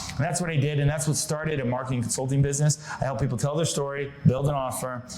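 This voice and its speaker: There is noticeable background noise and audible room echo as a man talks at a very fast pace. He has an American accent and a medium pitch. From Connecticut, US. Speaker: marketing consultant. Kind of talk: podcast interview.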